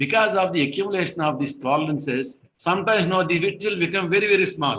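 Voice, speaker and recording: A man talks at a very fast pace in a high, bright, sharp voice with ordinary pitch variation. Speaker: engineering trainer. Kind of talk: online lecture.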